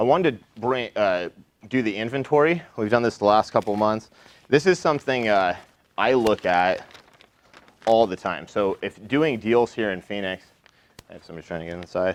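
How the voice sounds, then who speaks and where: Speaking at a moderate pace, a man with fairly low pitch uses lively intonation, big swings in loudness and long, frequent pauses. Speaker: real estate wholesaler. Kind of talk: talk at a meetup. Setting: room with live audience. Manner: casual, filler-heavy.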